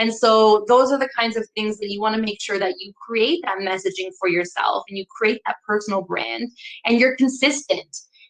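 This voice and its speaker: Her fairly high voice sounds animated, with ordinary pitch variation, as a woman talks at a moderate pace with hardly any pauses in a dry, close recording with no echo. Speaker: marketing consultant. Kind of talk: webinar presentation. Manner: loud.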